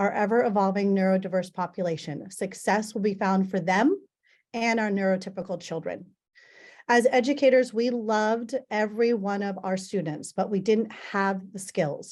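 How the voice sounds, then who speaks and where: Against a quiet background, a woman speaks at medium pitch with fairly even intonation. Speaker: teacher and parent presenter. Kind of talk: conference presentation. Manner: fast when nervous.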